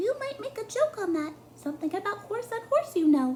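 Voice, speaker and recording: A put-on, squeaky character voice, soft-spoken and extremely high-pitched, with very wide pitch swings, a fairly quick pace and clear background noise. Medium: read story. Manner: soft, close to the ear.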